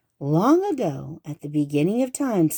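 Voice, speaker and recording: A put-on character voice sits at a middle pitch. It moves at a moderate pace. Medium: read story.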